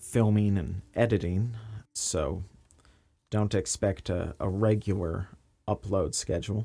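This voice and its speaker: Soft-spoken and very slow, a man talks with a fairly low pitch and a dark, mellow tone. His intonation stays fairly even. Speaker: bookbinder and craft video maker. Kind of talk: craft-along voiceover. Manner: soft, quiet, ASMR-like.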